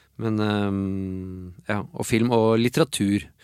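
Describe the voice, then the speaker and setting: On a very clean recording with a silent background and a dry, close sound with no echo, a man with an unremarkable speaking voice talks in fairly even intonation. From Oslo, Norway (Tåsen). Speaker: illustrator and cartoonist. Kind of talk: casual interview chat.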